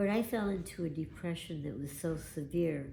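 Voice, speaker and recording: At a fairly slow pace, a woman speaks with a very deep, low pitch. Her tone is dark and mellow and somewhat breathy. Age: old. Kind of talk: personal testimony.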